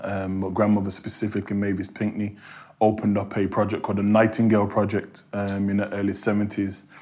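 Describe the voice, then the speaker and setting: In a Birmingham accent, a man speaks at a fairly quick pace with a fairly low pitch and flat, monotone intonation. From Birmingham, England. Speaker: criminologist and university lecturer. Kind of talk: interview.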